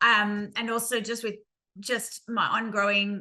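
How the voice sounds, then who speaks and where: A woman with an Australian accent, bright and sharp in tone, flat and monotone in intonation. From Queensland, Australia. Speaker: lived experience speaker. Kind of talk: testimony. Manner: hesitant, many ums.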